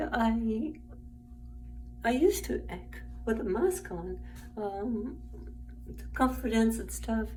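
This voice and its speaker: Audible room echo is present. Through it, a woman is talking. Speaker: vlogger. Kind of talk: personal vlog monologue. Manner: halting, many fillers.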